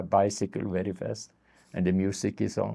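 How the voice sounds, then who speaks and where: A man talks at a moderate pace in a very deep, low pitch. His tone is dark and mellow, with vocal fry. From Sweden. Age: 70s. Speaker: street therapist. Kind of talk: interview. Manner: halting.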